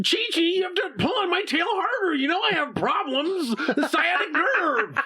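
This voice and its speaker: This is a put-on character voice with an extremely high pitch. It moves at a moderate pace with hardly any pauses. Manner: heroic.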